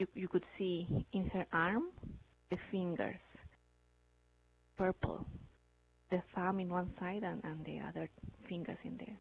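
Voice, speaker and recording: Her medium pitch carries vocal fry as a woman talks at a fairly slow pace with fairly even intonation and long, frequent pauses. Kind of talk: casual spoken ghost story.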